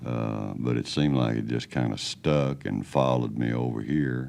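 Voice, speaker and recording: A soft-spoken man talks with a very deep, low pitch. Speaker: country singer. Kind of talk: interview answer.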